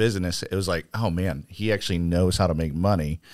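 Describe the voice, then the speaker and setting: On a very clean recording with a silent background, a man with an American accent speaks at a fairly quick pace, his very deep, low voice fairly even in intonation. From Arizona (Phoenix). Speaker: entrepreneur and church leader. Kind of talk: casual chat.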